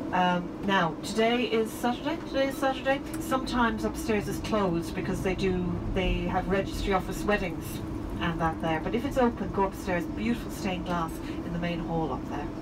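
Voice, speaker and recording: Over loud background noise, a woman talks at a fairly quick pace. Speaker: tour guide. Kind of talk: tour commentary. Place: bus.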